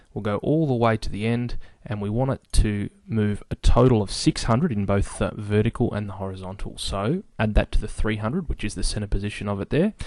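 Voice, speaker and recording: An ordinary speaking voice from a man, fairly low in pitch with ordinary pitch variation, at a fairly quick pace with hardly any pauses against a quiet background. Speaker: software tutorial maker. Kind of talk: screen-recorded tutorial.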